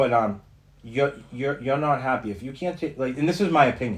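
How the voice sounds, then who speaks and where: The man speaks with lively intonation. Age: 40s. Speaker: recovery fitness coach. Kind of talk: casual chat. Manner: halting, many repetitions.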